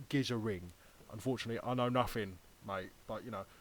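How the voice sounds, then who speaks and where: In a Cockney accent, a man talks at a fairly quick pace. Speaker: YouTuber. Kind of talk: casual commentary. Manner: animated.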